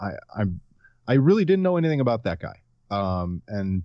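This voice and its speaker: Speaking at a moderate pace with an American accent, a man is heard against a quiet background. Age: 30s. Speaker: sports blogger. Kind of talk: casual chat.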